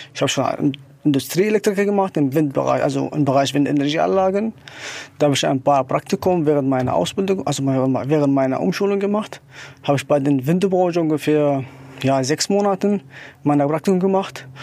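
Speaking with an Arabic accent, a man uses a fairly high voice at a fairly quick pace. His intonation is lively and his loudness very even. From Syria. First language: Arabic (speaking German). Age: 30s. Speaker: wind turbine technician. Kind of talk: interview.

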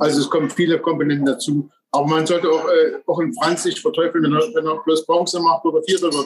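This man talks at a very fast pace, his pitch fairly high with ordinary variation. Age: 50s. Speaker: former bobsleigh champion. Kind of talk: casual podcast interview.

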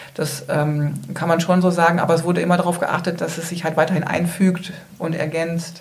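A woman speaks at a fairly low pitch with monotone, flat intonation and a fairly quick pace. There is audible room echo and noticeable background noise. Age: 40s. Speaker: residents' association chair. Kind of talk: interview. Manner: hesitant.

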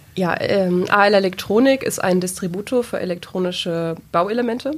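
A woman's plain, everyday voice, medium in pitch, with ordinary pitch variation. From Lower Saxony, Germany (Peine region). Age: 20s. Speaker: sales employee, former dual-study business student. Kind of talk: podcast interview.

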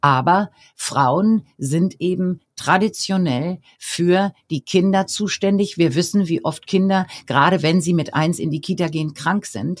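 An unremarkable speaking voice takes a fairly slow pace. Its pitch varies in an ordinary way. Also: woman, fairly low pitch for a woman. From Bavaria, Germany (Regensburg). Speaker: professor and coach. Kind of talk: interview.

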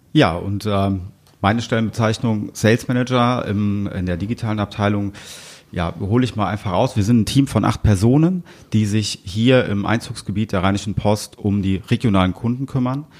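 Moderate speed and ordinary rises and falls in pitch, in an ordinary speaking voice. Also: man, fairly low pitch for a man. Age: 40s. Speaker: media sales manager. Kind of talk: casual interview.

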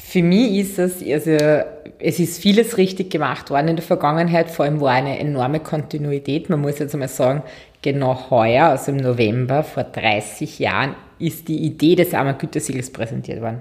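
Her pitch is very deep and low for a woman. She speaks at a moderate pace with ordinary pitch variation. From Austria, Waldviertel (Lower Austria). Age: 30s. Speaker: marketing executive. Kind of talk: interview.

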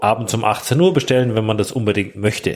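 The man's voice is fairly low, with fairly even intonation. The recording is very clean, with a silent background. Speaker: restaurant owner. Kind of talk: casual interview.

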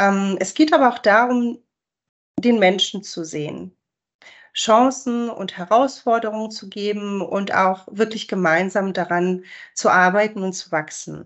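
An unremarkable speaking voice from a woman, medium in pitch with ordinary pitch variation, fairly slow, with big swings in loudness. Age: 40s. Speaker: sales manager. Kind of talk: interview.

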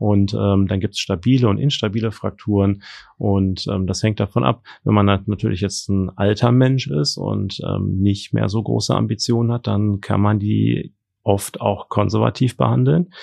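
With ordinary pitch variation and a moderate pace, the speaker talks in a plain, everyday voice. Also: man, fairly low pitch for a man. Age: 40s. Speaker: trauma and orthopedic surgeon. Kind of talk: interview. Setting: studio.

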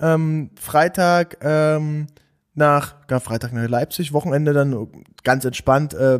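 A man talks with fairly even intonation in an unremarkable speaking voice. His pitch is fairly high, and the sound is dry and close with no echo. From eastern Germany, Saxony-Anhalt near Dessau. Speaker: content creator and agency founder. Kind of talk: podcast interview.

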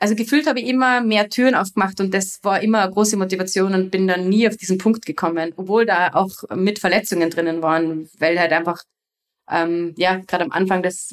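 A woman talks at a medium pitch with ordinary pitch variation and very even loudness. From Austria, Salzburg region (Gastein). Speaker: freeride skier and film producer. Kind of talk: interview, casual chat. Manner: hesitant, many filler sounds.

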